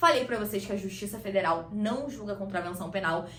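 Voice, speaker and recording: A woman talks at a fairly quick pace with medium pitch and ordinary pitch variation. Noticeable background noise and audible room echo surround her. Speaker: law teacher. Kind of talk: lecture. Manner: fast.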